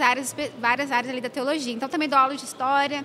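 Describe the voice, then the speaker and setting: Over noticeable background noise, a woman with a high pitch projects a raised voice at a very fast pace in a monotone, flat intonation. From Brazil, São Paulo city. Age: 20s. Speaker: theology teacher. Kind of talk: casual interview. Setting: convention hallway.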